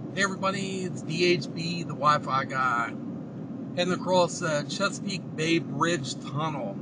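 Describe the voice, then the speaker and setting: Loud background noise fills the clip, though the voice itself sounds dry with no echo. A man talks at a moderate pace with ordinary pitch variation. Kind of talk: casual vlog chat. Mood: excited, relaxed. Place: car. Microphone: camera far.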